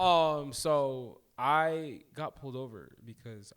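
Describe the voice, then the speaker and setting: With an American accent, a man is talking. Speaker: podcast co-host. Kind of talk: casual chat. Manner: mumbling; halting.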